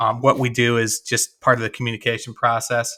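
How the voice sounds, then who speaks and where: Speaking in a Chicago accent, a man uses a medium pitch and a bright, sharp tone. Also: very clean recording, silent background. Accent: Chicago-area Midwestern. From US Midwest, west of Chicago. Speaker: former shop owner and business coach. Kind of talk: interview. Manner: halting.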